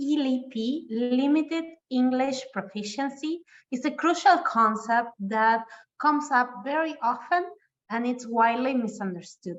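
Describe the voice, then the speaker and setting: A woman with a Spanish accent speaks high and fairly slowly, with lively intonation. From Argentina. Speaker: webinar presenter. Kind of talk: presentation.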